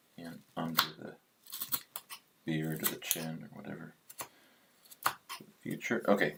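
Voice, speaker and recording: Speaking at a very deep, low pitch, a man talks at a fairly slow pace with fairly even intonation, big swings in loudness and long, frequent pauses. Noticeable background noise is present. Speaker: hobby woodcarver. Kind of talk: live-stream carving tutorial. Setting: livestream. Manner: hesitant, many fillers.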